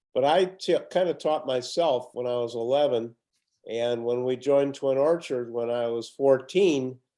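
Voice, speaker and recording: With a Chicago accent, a man speaks at a moderate pace and medium pitch. His tone is dark and mellow, with ordinary pitch variation. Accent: Chicago-area American. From US Midwest, Highland Park, Illinois. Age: 80s+. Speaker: retired golfer, host's father. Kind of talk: casual chat. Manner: soft-spoken.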